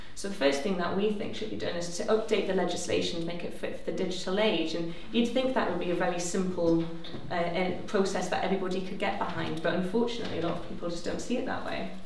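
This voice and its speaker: Over light background noise and audible room echo, a woman talks very fast with hardly any pauses. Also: ordinary pitch variation. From northern England, County Durham. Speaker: civil liberties campaigner. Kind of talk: panel debate. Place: hall.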